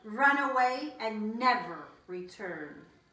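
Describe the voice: A woman's put-on character voice, fairly high, bright and sharp, slow but lively in intonation, with strong room echo.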